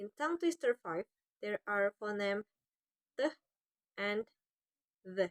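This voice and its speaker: With an Indonesian accent, a woman talks at a fairly slow pace with lively intonation and long, frequent pauses, the sound dry and close with no echo. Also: medium pitch for a woman. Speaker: university student. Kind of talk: class presentation.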